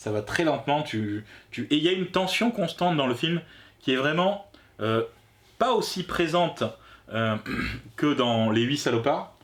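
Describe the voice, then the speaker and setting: A man's fairly high voice at a fairly slow pace, full of very wide pitch swings and long, frequent pauses. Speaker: film review youtuber. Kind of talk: casual film review chat. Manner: halting.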